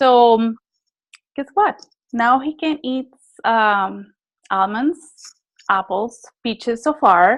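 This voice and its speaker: Long, frequent pauses break up a woman's very slow speech. Her pitch is fairly high, and she has a non-native accent. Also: ordinary pitch variation. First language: not English. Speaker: network marketing distributor sharing testimony. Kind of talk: testimony. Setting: group call.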